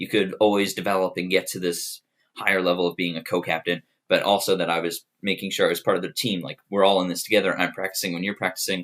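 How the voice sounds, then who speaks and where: This man talks at a very fast pace with an American accent. His pitch is very deep and low, and his intonation is monotone and flat. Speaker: student applying for resident assistant. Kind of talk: application video monologue.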